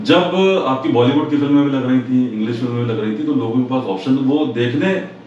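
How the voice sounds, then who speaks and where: Noticeable background noise runs through the clip. A man speaks at medium pitch. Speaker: radio presenter and voice actor. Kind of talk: interview answer.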